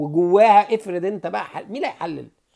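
A man with an Egyptian accent speaks at a high pitch over a quiet background. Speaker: political commentator. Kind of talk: satirical monologue. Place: home room. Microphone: earbuds.

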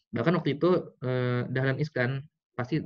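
Quiet surrounds this male speaker. He keeps to a moderate pace. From Tangerang, Indonesia; Indonesia. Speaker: business mentor; guest. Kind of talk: online seminar talk. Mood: casual, motivational. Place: home room. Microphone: video call.

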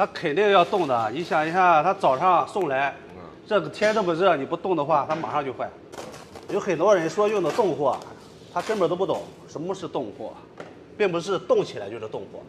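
The speech moves at a fairly quick pace with lively intonation, broken by long, frequent pauses. Light background noise is present. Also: man, high pitch for a man. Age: 30s. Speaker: street food stall owner. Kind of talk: casual interview. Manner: confident. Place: shop.

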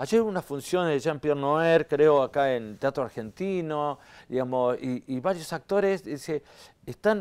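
With lively intonation and a fairly high pitch, a man talks at a fairly slow pace. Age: 60s. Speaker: actor and theatre director; actor. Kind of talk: interview. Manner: hesitant, many fillers. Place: studio. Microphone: lapel.

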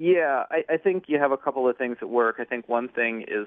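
A man with an American accent at a moderate pace with ordinary pitch variation, over a quiet background. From Philadelphia. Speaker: newspaper reporter. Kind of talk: phone interview. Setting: phone call. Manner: halting, many fillers. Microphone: phone line.

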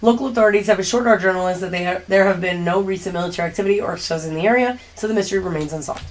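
A woman puts on a raspy character voice at a medium pitch with ordinary pitch variation, talking at a very fast pace with hardly any pauses. Clear background noise can be heard. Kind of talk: news-report read aloud. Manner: reading fast, rushed.

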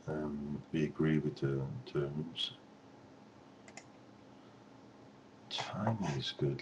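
Very slowly, a man talks at a very deep, low pitch over noticeable background noise. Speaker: presenter. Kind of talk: tutorial. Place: home room. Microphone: webcam.

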